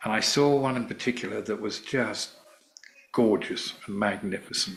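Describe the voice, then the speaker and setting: Against noticeable background noise, a man with a medium pitch speaks with fairly even intonation. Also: moderate pace. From England. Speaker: former rock band manager. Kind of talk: interview storytelling.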